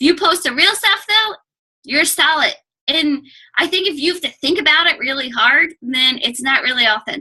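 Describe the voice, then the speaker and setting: A woman speaks in a high pitch with lively intonation and a bright, sharp tone. Her voice is raised and projected. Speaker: fitness coach guest speaker. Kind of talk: team call presentation. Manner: fast; loud.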